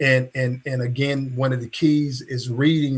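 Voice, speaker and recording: A man talks in a plain, everyday voice. His pitch is medium and his pace fairly slow. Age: 60s. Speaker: podcast host and coach. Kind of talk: interview podcast.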